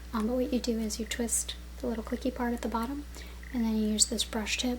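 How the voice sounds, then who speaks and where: A woman whispers, soft-spoken, at a fairly quick pace, with noticeable background noise. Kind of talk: ASMR product review. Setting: home, on-camera mic. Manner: soft-spoken, some whispering.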